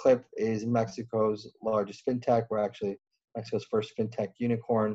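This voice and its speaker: Medium-pitched male voice with a dark, mellow tone and an American accent, at a moderate pace. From US Midwest. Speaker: venture investor. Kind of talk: podcast interview.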